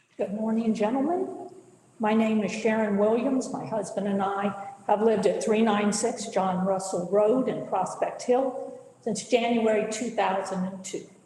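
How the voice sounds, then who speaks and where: Speaking at a moderate pace, a woman uses a fairly high pitch with ordinary pitch variation. Noticeable background noise and audible room echo are present. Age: 70s. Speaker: public commenter. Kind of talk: public comment at county board meeting. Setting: county board meeting.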